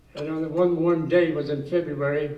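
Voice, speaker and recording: High-pitched male speech in a monotone, flat delivery, with audible room echo. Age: 80s+. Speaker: war veteran. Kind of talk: personal war story told to an audience. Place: meeting room.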